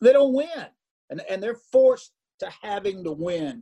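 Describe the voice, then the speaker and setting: His tone dark and mellow, a man talks at a moderate pace. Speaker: racing broadcaster. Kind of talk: radio interview. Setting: office phone or video call.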